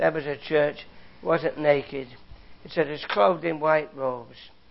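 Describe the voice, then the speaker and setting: Delivery moves at a moderate pace. An English accent is heard. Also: man. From England, London area. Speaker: Bible teacher. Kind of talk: sermon.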